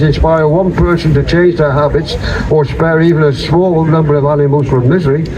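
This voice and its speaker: Noticeable background noise sits behind a man speaking at a fairly high pitch. He talks at a fairly quick pace with fairly even intonation. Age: 80s+. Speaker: vegan activist, ultra-marathon runner. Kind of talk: public speech at a rally. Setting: outdoors.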